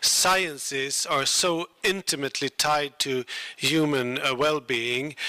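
A man with a Swedish accent speaks at a fairly slow pace and a fairly high pitch, with fairly even intonation and a dry sound with no echo. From Sweden. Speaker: ambassador; event host. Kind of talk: formal opening speech. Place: hall. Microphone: handheld.

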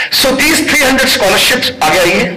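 There's a man talking. He uses lively intonation. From India. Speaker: motivational speaker. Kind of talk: pep talk. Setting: workshop hall with student audience. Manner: animated, crowd-rousing, call-and-response; fast, code-switching between Hindi and English. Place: hall. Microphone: pa.

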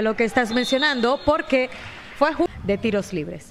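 Noticeable background noise sits behind this speaker. She is a woman with a high pitch. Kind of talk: live sports color commentary, basketball. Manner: measured, analytical, flowing commentary.

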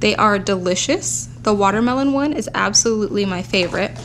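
There is light background noise. A woman talks at a moderate pace. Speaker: haul vlogger. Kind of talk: casual vlog chat. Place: home room.

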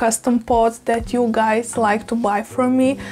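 Speaking slowly, a woman keeps her fairly high pitch with little movement and a slightly mellow tone.

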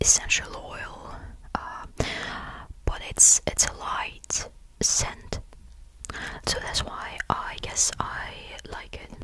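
Very slow, soft-spoken whispering from a man, dry with no echo, over noticeable background noise. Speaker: video creator. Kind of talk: soft-spoken ASMR show and tell. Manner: soft close-mic ASMR whisper. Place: home room. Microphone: studio mic.

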